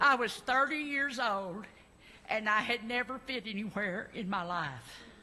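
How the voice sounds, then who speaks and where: Speaking with an Arkansas accent, a woman uses a fairly high pitch, lively intonation and a bright, sharp tone at a fairly slow pace. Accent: Southern US (Arkansas). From US South, Arkansas (Little Rock). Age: 70s. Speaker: congregation member. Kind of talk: personal testimony. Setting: church service. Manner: halting, many fillers.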